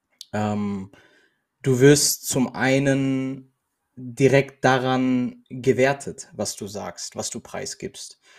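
A man at a very slow pace with a medium pitch. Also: fairly even intonation. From Germany. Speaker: podcast co-host. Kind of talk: casual chat. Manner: halting.

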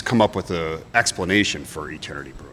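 Speaking fairly quickly in a plain, everyday voice, a man with an American accent uses ordinary pitch variation on a very clean recording with a silent background. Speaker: brewery owner. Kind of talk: casual interview.

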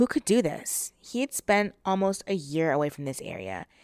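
Intonation is lively and the pace moderate in a normal speaking voice. Background silent, recording very clean. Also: woman. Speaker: true crime podcaster. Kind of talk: true-crime narration, storytelling a case in a steady, serious tone. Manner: conversational and sassy in intros, then grave and measured in the retelling.

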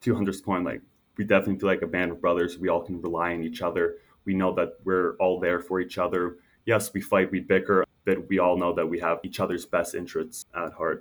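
In a Canadian accent, a man with a very deep, low pitch talks at a fairly quick pace with monotone, flat intonation. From Canada, Toronto suburbs. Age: 20s. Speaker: former college basketball player, accountant. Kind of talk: interview. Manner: casual, filler-heavy.

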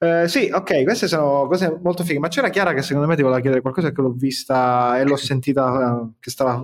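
The delivery is very fast and animated, with hardly any pauses. The recording is very clean, with a silent background. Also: man, fairly high pitch for a man, ordinary pitch variation. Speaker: podcast co-host. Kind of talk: casual podcast chat. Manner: animated, jokey.

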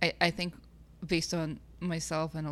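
On a very clean recording with a silent background, a woman speaks in a very deep, low voice with vocal fry. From Kazakhstan. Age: 20s. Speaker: podcast co-host. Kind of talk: casual chat.

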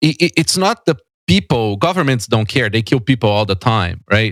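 In a Portuguese accent, a man speaks at a medium pitch in a dry, close sound with no echo. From Brazil, São Paulo. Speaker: tech company founder and CEO. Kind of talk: casual interview. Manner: halting, many repetitions and fillers.

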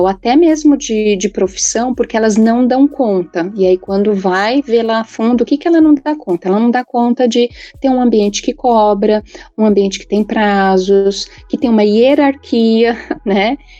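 A woman speaks in a dark, mellow tone at a fairly high pitch. Her pace is fairly slow, with ordinary pitch variation. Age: 40s. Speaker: psychologist. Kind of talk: casual panel discussion. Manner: halting, many fillers (né).

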